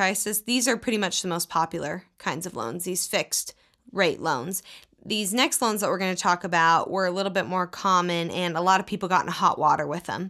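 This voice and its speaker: This very clean recording has a silent background. A woman speaks at medium pitch and a fairly quick pace. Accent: Texan. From US South, Texas. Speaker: podcast co-host. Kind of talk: casual chat.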